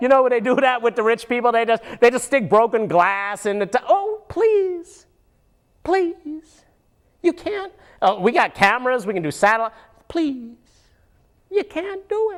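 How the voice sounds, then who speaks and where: Putting on a cartoonish character voice, a female-sounding speaker talks high for a woman at a moderate pace, with very wide pitch swings and long, frequent pauses. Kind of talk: casual puppet show political commentary. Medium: puppet. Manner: excitable, rambling.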